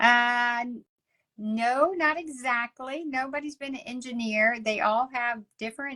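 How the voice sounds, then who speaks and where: With a strong Texas accent, a woman speaks at a fairly slow pace in a high, bright, sharp voice with ordinary pitch variation, on a very clean recording with a silent background and a dry, close sound with no echo. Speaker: ministry leader and coach. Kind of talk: interview conversation.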